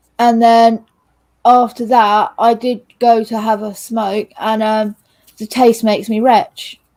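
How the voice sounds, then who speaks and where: In a British accent, a woman speaks at a very slow pace with a fairly high pitch, a dark, mellow tone and monotone, flat intonation. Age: young. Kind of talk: casual chat.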